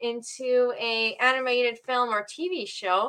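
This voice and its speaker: Raising and projecting her voice, a woman speaks at a high pitch with ordinary pitch variation and a bright, sharp tone. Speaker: background actor and author. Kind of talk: interview.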